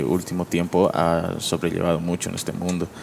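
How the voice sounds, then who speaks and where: A man's voice, very deep and low in pitch. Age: 20s. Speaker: graphic designer. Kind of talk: casual chat.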